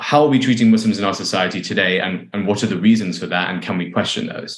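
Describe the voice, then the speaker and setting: Ordinary pitch variation runs through delivery at a very fast pace. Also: man, fairly low pitch for a man. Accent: London. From London, England. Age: 30s. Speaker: playwright. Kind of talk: interview conversation.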